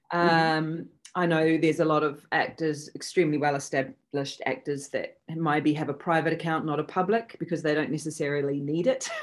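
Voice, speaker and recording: A woman with a New Zealand accent talks in a very deep, low voice at a fairly quick pace. She hardly pauses, and her pitch varies in an ordinary way. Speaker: actress. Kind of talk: interview. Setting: video call.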